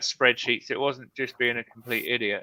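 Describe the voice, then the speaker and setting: A man talks with a British accent. The sound is dry and close, with no echo. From Britain. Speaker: live stream host, real estate investor. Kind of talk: casual chat. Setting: live stream video call.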